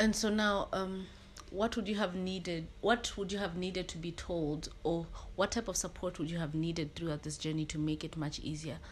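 A woman speaks in a normal speaking voice at a fairly low pitch. Her pace is moderate and her pitch varies in an ordinary way. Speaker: podcast host. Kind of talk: casual chat.

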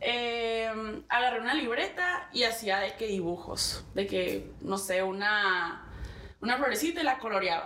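At a moderate pace, a woman with a medium pitch speaks amid audible room echo and noticeable background noise. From Navojoa, Sonora, Mexico. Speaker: artist and entrepreneur. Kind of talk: casual chat.

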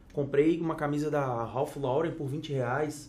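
Amid audible room echo, a man with a fairly high pitch speaks with ordinary pitch variation. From Espírito Santo, Brazil. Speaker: fashion consultant and influencer. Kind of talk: casual chat.

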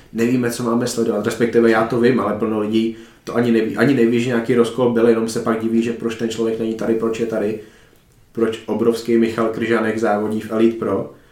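Through audible room echo, a man at a medium pitch talks at a very fast pace with monotone, flat intonation. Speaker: podcast host. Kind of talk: casual interview.

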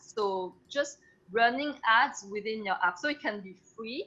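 Speaking with a French accent, a woman uses a fairly high pitch and lively intonation. Her tone is bright and sharp, and the background is quiet. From France. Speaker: entrepreneur. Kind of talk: interview.

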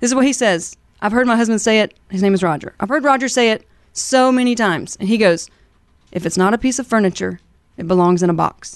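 Talking at a very fast pace, a woman speaks with a Southern US accent. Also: ordinary pitch variation, quiet background. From US South, southern Alabama. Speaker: moving company owner. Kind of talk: business interview. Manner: animated.

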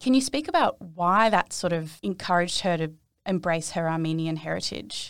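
In a very clean recording with a silent background, a woman speaks with an Australian accent. Her pitch is fairly low and her intonation lively. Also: moderate pace. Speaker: podcast host. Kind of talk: interview.

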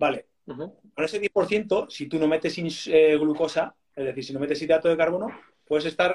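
With a normal speaking voice, the speaker moves at a fairly quick pace and keeps a fairly even intonation. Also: man. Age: 40s. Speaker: athlete and diabetes educator. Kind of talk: interview.

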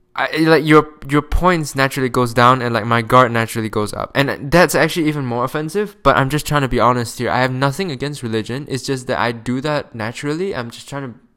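A man with a non-native accent speaks at medium pitch with a bright, sharp tone. His pace is fairly quick, with hardly any pauses and ordinary pitch variation. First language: not English. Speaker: podcast host. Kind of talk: casual monologue. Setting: home recording, close to microphone. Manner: casual, profane.

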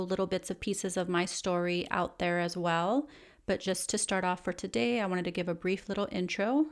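On a very clean recording with a silent background, a woman with a Californian accent speaks at a moderate pace in a medium pitch, her pitch varying in an ordinary way. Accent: Californian American English. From US West, Los Angeles area. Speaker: podcast host and psychologist. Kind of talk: solo podcast monologue. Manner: casual, conversational with fillers.

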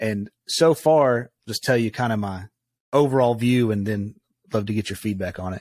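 A plain, everyday voice at a moderate pace with ordinary pitch variation, in a dry, close, echo-free, very clean recording with a silent background. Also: man, medium pitch for a man. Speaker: podcast host. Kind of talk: interview conversation.

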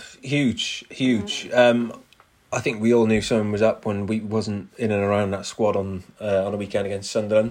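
A moderate pace and monotone, flat intonation, in a Cardiff accent. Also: man, fairly low pitch for a man. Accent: Cardiff Welsh English. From Wales, Cardiff. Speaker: presenter and music artist. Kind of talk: casual chat.

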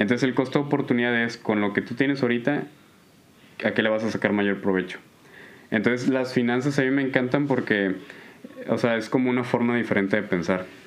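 Fairly quick yet broken by long, frequent pauses, a man's medium-pitched speech keeps a fairly even intonation. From Nuevo León, Mexico. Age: 20s. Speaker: computer science graduate student. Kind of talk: casual chat.

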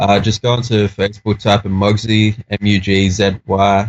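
With an Australian accent, a man speaks at a fairly low pitch in a monotone, flat intonation. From Australia (Sydney). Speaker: rapper. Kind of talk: casual chat. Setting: remote call.

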